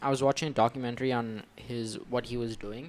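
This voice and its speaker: A man speaks at a moderate pace with an American accent. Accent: neither American nor Indian. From India. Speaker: podcast co-host. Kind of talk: casual chat.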